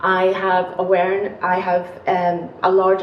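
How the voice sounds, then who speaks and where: A woman of medium pitch with a Northern Irish accent, amid audible room echo and noticeable background noise. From Northern Ireland, Belfast. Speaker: academic researcher. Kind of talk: panel talk. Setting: university seminar panel.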